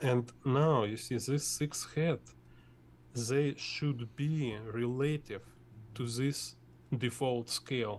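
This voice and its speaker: A man with a Russian accent speaks at a medium pitch. His intonation stays fairly even. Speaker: artist teaching drawing. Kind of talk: tutorial. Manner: halting.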